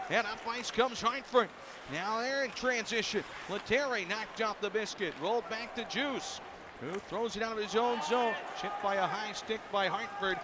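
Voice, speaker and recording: A man's raised, projected voice comes through at a high pitch with an animated tone, the sound dry with no echo and noticeable background noise behind him. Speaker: hockey play-by-play announcer. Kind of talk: live hockey commentary. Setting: arena broadcast, radio network. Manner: rapid-fire, fluent play-by-play; animated, rising excitement on goals. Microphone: headset.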